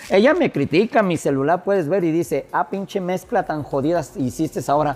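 A man with a high-pitched voice talks at a fairly quick pace, his pitch varying in an ordinary way. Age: 50s. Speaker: DJ. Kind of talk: casual interview. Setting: bar with music playing.

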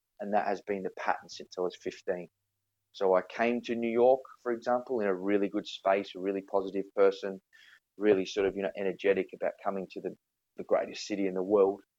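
A man with an Australian accent speaks fairly quickly in a dark, mellow tone with monotone, flat intonation, over a quiet background. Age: 30s. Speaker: podcast guest. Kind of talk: casual chat. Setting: video call.

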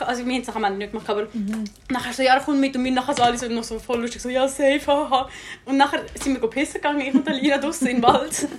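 Over noticeable background noise, a woman talks at a very fast pace. Her high voice shows ordinary pitch variation. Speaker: podcast host. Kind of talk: casual chat. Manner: animated.

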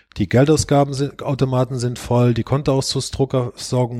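Recorded very cleanly against a silent background, with a dry, close sound and no echo, a man talks at a fairly quick pace and medium pitch in a dark, mellow tone. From Germany, Rhineland-Palatinate (Eifel region). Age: 50s. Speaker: bank chief executive. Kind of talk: podcast interview. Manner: hesitant, many filler sounds.

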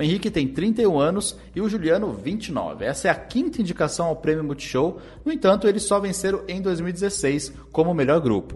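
Intonation is lively as a man talks at a high pitch. His pace is moderate. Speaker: podcast host, music analyst. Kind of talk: casual music-analysis chat.

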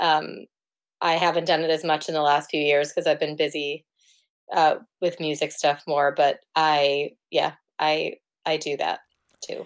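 In a New York accent, a woman with a very deep, low pitch speaks monotone and flat at a moderate pace, leaving long, frequent pauses, on a very clean recording with a silent background. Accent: New York American. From US, New York City (Manhattan). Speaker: singer-songwriter and photographer. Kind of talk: casual interview chat. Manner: hesitant, many fillers.

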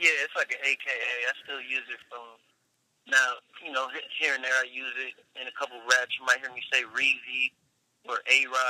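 In a dry, close recording with no echo, a man speaks at a moderate pace with big swings in loudness and long, frequent pauses. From Long Beach, California, US West Coast. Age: 30s. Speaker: rapper. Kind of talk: casual chat.

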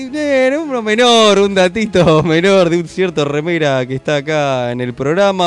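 With very wide pitch swings, a man speaks at a high pitch and a fairly slow pace. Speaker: podcast co-host. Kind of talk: casual chat. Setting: studio.

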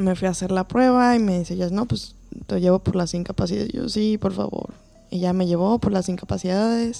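A woman's medium-pitched voice with a dark, mellow tone, ordinary pitch variation and a fairly quick pace. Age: 30s. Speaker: physician. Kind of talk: casual chat. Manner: halting.

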